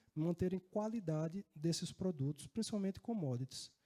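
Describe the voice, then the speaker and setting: A man with a northeastern Brazilian accent speaks at a moderate pace in a high pitch and a dark, mellow tone, with ordinary pitch variation and a dry, close sound with no echo. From Northeast Brazil, Natal (Rio Grande do Norte). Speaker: risk management executive and conference speaker. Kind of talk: conference talk. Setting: stage with audience. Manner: conversational, with filler words.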